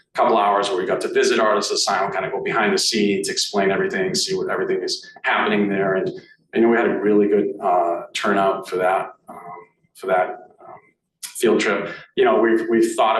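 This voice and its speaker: A man talks at a fairly quick pace in a Boston accent. Audible room echo is present. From Boston area, US. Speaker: arts association president. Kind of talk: meeting presentation. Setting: meeting room with in-person and online audience. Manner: halting, many fillers.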